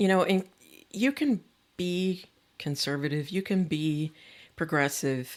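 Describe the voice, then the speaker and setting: A woman with an American accent, fairly low in pitch, very slow with long, frequent pauses, very even in loudness, with ordinary pitch variation, on a very clean recording with a silent background. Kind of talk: podcast interview.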